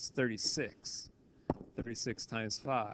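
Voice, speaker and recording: Here a man talks in an unremarkable speaking voice. His pace is moderate. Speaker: math teacher. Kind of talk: tutorial. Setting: recorded video lesson, voice only.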